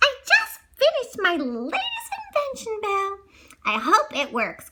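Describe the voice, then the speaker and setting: A woman puts on a squeaky character voice, pitched extremely high and swinging very widely up and down. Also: moderate pace. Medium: read story.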